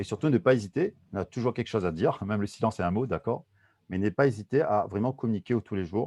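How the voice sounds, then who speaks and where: Very fast delivery in a dark, mellow tone, with big swings in loudness, ordinary pitch variation, and a dry, close sound with no echo against a quiet background. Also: man, fairly low pitch for a man. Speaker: soft skills trainer. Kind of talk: webinar presentation. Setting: video call. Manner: mumbling.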